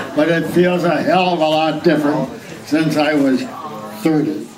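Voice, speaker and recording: With audible room echo and noticeable background noise, a man speaks at a fairly high pitch and a fairly slow pace with ordinary pitch variation. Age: 80s+. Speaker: birthday celebrant giving a speech. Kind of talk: birthday speech to family. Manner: halting, with repeated words.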